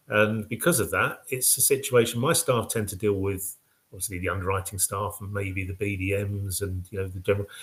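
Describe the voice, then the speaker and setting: Speaking at a very fast pace, a man with a British accent has a fairly low, somewhat breathy voice. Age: 60s. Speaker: mortgage packager company director. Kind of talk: business web show presentation. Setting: live web show with slides. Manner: casual, hesitant with fillers.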